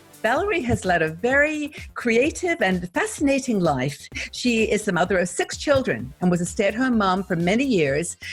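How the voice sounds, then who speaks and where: With music in the background, a woman at a fairly high pitch speaks at a moderate pace, her pitch swinging very widely while her loudness stays very even. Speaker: YouTube host / interviewer. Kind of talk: interview, casual conversation.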